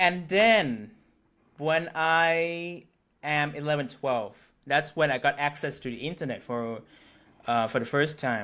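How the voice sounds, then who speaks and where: The voice has a bright, sharp tone and a Thai accent, with ordinary pitch variation. It moves at a fairly slow pace with long, frequent pauses, on a very clean recording with a silent background. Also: man, fairly high pitch for a man. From Thailand, Bangkok. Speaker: local interviewee. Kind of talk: casual interview chat. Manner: halting.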